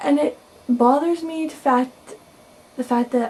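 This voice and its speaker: A soft-spoken woman with a high voice talks over noticeable background noise. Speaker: video blogger. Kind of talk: casual vlog monologue.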